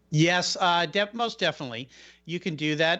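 A man with an American accent, high-pitched, at a moderate pace. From US Pacific Northwest. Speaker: podcast host. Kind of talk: radio interview.

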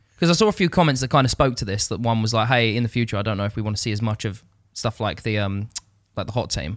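Very fast speech from a man at medium pitch, ordinary pitch variation, very clean recording with a silent background. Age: 20s. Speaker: videographer. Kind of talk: casual chat.

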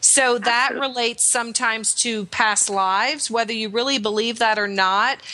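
A woman with a fairly high voice talks at a fairly quick clip with hardly any pauses, over noticeable background noise. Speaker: guest intuition coach. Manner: animated, warm.

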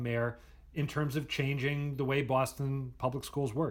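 The man's voice sits at a medium pitch, with fairly even intonation. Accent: American. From US Midwest. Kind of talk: interview. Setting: video call.

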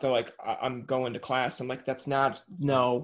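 With little pitch movement, a man speaks at a fairly slow pace. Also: medium pitch for a man.

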